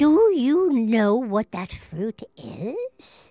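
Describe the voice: A woman's put-on character voice, fairly high in pitch, dark and mellow in tone, with very wide pitch swings at a very slow pace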